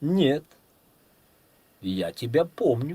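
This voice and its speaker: This is a put-on character voice. It has a creaky quality. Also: man, fairly high pitch for a man. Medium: read story. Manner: haughty, condescending.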